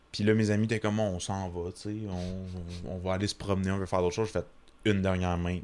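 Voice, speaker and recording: This man's intonation stays monotone and flat. His pitch is fairly low. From Quebec, small town. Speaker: comedian. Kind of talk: casual chat.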